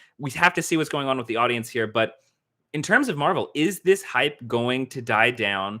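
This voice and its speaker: With an American accent, a man speaks at a moderate pace and medium pitch, his tone bright and sharp and his intonation lively. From US South. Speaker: film critic, YouTuber. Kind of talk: livestream commentary. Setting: indoors, sun through window glare. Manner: casual, halting with fillers.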